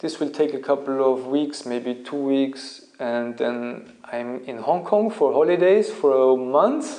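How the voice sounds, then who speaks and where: A man with a German accent, fairly high in pitch, at a very slow pace with ordinary pitch variation and noticeable background noise. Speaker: Feldenkrais teacher and YouTuber. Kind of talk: casual Q&A monologue. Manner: halting, with self-corrections.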